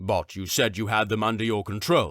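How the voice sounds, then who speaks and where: Putting on a growling character voice, a man speaks at a moderate pace with a fairly low pitch. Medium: read story. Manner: suspicious, questioning.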